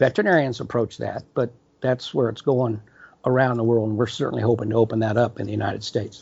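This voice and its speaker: At a very fast pace, a man talks in a somewhat breathy voice of medium pitch, his intonation fairly even. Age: 70s. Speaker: company founder and CEO. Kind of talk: interview conversation. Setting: video call from California. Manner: hesitant, filler words.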